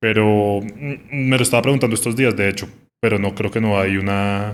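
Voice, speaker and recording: A man speaks at a fairly quick pace with a fairly low pitch and fairly even intonation. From Colombia, Bogotá. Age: 30s. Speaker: music journalist. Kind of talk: casual interview conversation. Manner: hesitant, many fillers.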